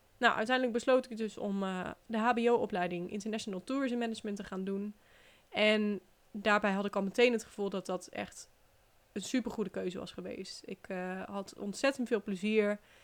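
A woman with an unremarkable speaking voice, medium pitch, fairly even intonation and big swings in loudness. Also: moderate pace. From Netherlands, Brabant (Den Bosch). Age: 20s. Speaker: podcast host, relocation coach. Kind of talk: personal story monologue. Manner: casual, chatty with fillers.

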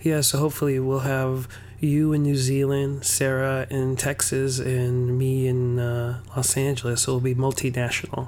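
Speaking at a moderate pace with hardly any pauses, a medium-pitched man keeps a monotone, flat intonation and very even loudness against noticeable background noise. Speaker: podcast host. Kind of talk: casual chat.

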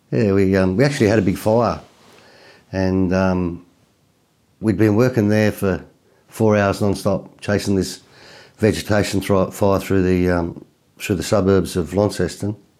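A man's dark, mellow tone, with fairly even intonation, very even loudness, and long, frequent pauses. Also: fairly low pitch for a man, moderate pace. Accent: Australian. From Tasmania, Australia. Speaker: country singer and volunteer firefighter. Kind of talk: casual interview chat. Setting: studio. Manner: hesitant with frequent fillers.

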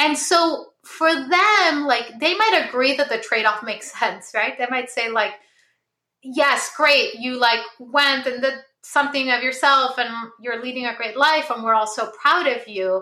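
A woman's high, raised and projected voice with a bright, sharp tone, lively intonation and a fairly slow pace. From Peru (Lima). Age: 40s. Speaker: philosopher. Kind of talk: casual chat.

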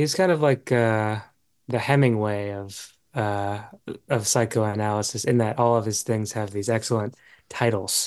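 Against a quiet background, a man with an ordinary speaking voice talks at a moderate pace, using a fairly low pitch and ordinary pitch variation. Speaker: podcast host. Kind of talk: casual interview.

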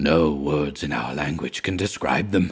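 In a put-on character voice, a man talks at a moderate pace with a raspy, very deep, low pitch. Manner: whispering.

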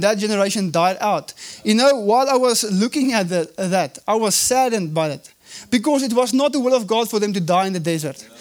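A man with a South African accent speaks at a moderate pace in a high pitch, his intonation lively, over noticeable background noise. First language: Afrikaans. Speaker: evangelist, guest preacher. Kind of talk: sermon. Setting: church service.

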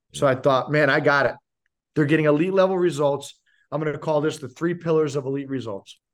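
A man with a fairly high pitch talks at a fairly quick pace in an energetic tone. The recording is very clean, with a silent background. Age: 40s. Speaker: leadership coach, former pro basketball player. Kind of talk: interview.

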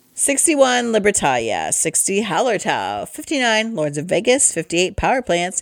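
In a very clean recording with a silent background, a speaker with an American accent talks at a moderate pace with very wide pitch swings. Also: woman. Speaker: board game podcast host and college instructor. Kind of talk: casual chat.

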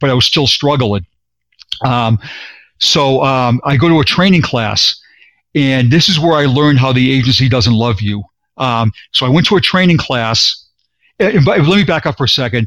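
A man with a Boston accent speaks at a moderate pace and medium pitch, with lively intonation, very even loudness and long, frequent pauses. The recording is very clean with a silent background. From Boston, Massachusetts. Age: 50s. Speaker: retired police sergeant. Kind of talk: interview, personal testimony. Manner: animated, repetitive.

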